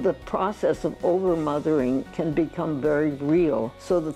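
A woman at a fairly slow pace, with lively intonation, a very deep, low pitch, and faint music in the background. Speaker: physician. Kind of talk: interview answer. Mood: warm, reflective. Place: home room. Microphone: lapel.

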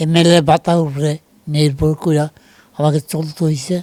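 This man's voice sits fairly high in pitch. It has a dark, mellow tone. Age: 70s. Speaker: retired politician. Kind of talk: interview. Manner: halting.

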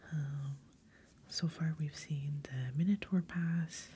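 A soft-spoken woman talks in a relaxed tone over light background noise. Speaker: ASMR host and board game player; ASMR host. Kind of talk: soft-spoken ASMR board game playthrough. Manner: soft-spoken, casual, relaxed. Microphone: studio mic.

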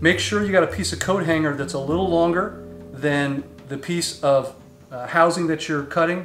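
Faint background music behind a man talking at a moderate pace. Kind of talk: tutorial. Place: garage.

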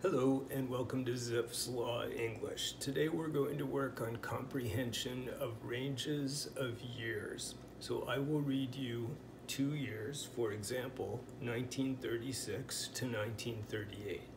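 Very slowly and with fairly even intonation, a man talks in a Pacific Northwest accent over noticeable background noise. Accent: Pacific Northwest American English. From US Pacific Northwest. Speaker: language teacher. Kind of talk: tutorial. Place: home room. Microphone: phone near.

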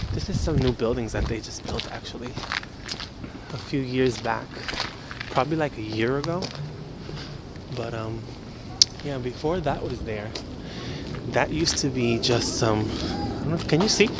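Amid loud background noise, a man speaks with long, frequent pauses in a dry sound with no echo. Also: ordinary pitch variation, moderate pace. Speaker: vlogger. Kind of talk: casual vlog chat. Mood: relaxed, chatty. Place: street. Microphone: phone near.

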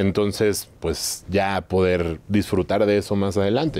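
Talking at a fairly slow pace, a man with a Mexican accent uses a fairly low pitch. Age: 30s. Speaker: entrepreneur, trading company founder; interview guest. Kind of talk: interview. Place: studio. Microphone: lapel.

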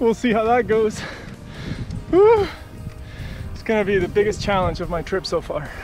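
Clear music plays in the background as a man talks very slowly. The sound is dry, with no echo. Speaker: touring cyclist vlogger. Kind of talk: casual vlog chat. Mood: upbeat, slightly amused. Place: bicycle.

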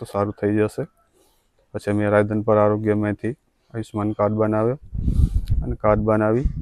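A man's unremarkable speaking voice, fairly low-pitched with fairly even intonation, dry and close with no echo. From Kutch, Gujarat. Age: 30s. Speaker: patient, scheme beneficiary. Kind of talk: testimony.

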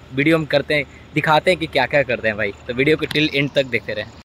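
The voice has fairly even intonation, in a dry sound with no echo. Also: man. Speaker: fitness vlogger. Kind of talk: casual vlog chat. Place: open country. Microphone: phone near.

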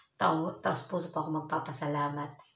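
Amid audible room echo, a woman speaks in a very deep, low pitch with monotone, flat intonation. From Philippines. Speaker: vlogger, overseas Filipino worker; vlogger. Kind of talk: casual vlog talk to viewers. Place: home room. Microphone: phone near.

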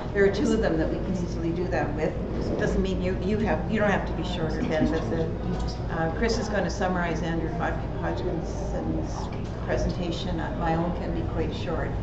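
The speech proceeds at a moderate pace while loud background noise fills the recording. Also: woman. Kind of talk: conference session introduction. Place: hall.

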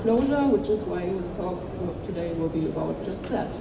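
Against clear background noise, a woman speaks with lively intonation.

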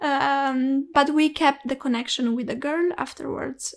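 Speaking in a Romanian accent, a woman talks at a fairly slow pace in a high pitch, her intonation fairly even. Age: 20s. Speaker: student. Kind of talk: casual chat.

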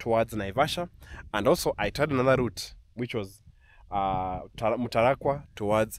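Lively intonation marks this man's speech at a moderate pace. The sound is dry with no echo, under light background noise. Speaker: travel vlogger. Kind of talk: casual vlog chat. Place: open country. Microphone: phone near.

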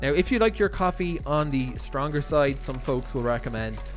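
The speech goes at a moderate pace over faint music in the background. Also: man. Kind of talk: tutorial. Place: kitchen.

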